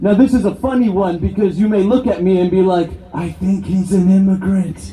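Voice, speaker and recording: A man with a Canadian accent and a high pitch speaks at a moderate pace over noticeable background noise. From Canada (immigrated from Brazil as small child). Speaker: political activist. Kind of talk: rally speech. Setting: outdoor rally with crowd.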